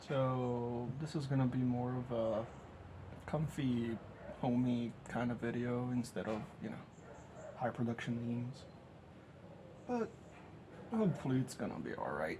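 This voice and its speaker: A man with a medium pitch speaks at a fairly slow pace with fairly even intonation and long, frequent pauses, amid noticeable background noise. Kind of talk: casual cooking tutorial talk.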